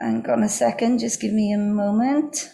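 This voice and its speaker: A woman's fairly high voice at a fairly slow pace. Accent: Welsh. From Wales. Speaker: industry executive and event speaker. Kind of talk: key takeaways summary speech. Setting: video call.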